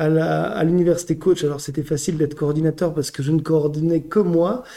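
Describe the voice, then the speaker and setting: A man's fairly high pitch with fairly even intonation. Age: 30s. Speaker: French teacher and school coordinator. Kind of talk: casual interview. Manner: hesitant, with filler words.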